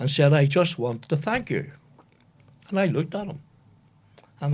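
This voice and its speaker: A man talks at a fairly quick pace with a Northern Irish accent. His voice is somewhat breathy, with ordinary pitch variation. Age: 80s+. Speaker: retired football administrator. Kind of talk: interview storytelling.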